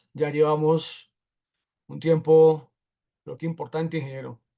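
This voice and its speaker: A man's fairly high yet dark, mellow voice at a moderate pace. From Colombia, Bogotá. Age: 40s. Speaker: automotive technical instructor. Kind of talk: lecture.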